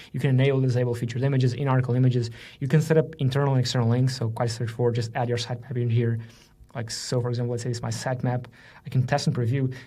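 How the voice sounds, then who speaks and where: In a room with audible echo, a man speaks very fast in a somewhat breathy, dark, mellow tone with monotone, flat intonation. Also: medium pitch for a man. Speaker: software marketer demoing a tool. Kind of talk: screen-share tutorial. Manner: casual, with filler words.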